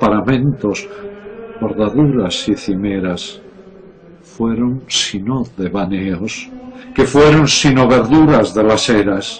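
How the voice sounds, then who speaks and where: Over noticeable background noise, a man at a medium pitch speaks at a very slow pace, leaving long, frequent pauses. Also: ordinary pitch variation. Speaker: poetry reciter. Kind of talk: poetry reading.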